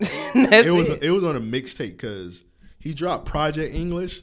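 This man's pitch rises and falls across a very wide range. He talks very slowly. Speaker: podcast co-host.

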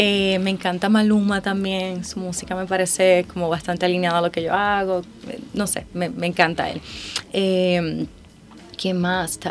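A woman talks at a fairly slow pace and a medium pitch over noticeable background noise. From Puerto Rico. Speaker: singer. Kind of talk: interview. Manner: animated, laughing often.

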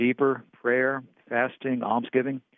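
A man with a medium pitch and a plain, everyday voice. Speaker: preacher. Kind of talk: sermon. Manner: formal.

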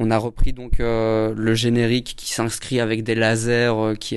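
Man at medium pitch with monotone, flat intonation. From Belgium. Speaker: film director. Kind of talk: interview. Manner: halting.

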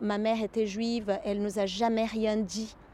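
A woman in a Portuguese accent speaks fairly slowly at a fairly high pitch. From Brazil. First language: Portuguese (speaking French). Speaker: psychoanalyst. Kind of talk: interview. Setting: therapist's office. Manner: halting.

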